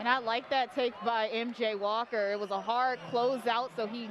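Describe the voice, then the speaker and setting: A woman's unremarkable speaking voice, fairly high in pitch, at a moderate pace with fairly even intonation. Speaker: sports reporter. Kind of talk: in-game color commentary and analysis.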